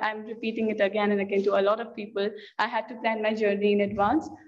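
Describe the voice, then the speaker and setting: A woman speaks at a moderate pace with a fairly high pitch. Audible room echo surrounds her voice. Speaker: green party representative. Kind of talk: panel talk. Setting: conference panel. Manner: halting, many repetitions.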